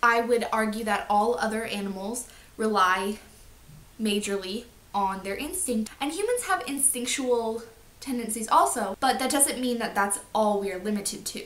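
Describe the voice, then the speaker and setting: Moderate-paced speech from a woman at a fairly high pitch, with ordinary pitch variation over noticeable background noise. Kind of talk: casual talk to camera.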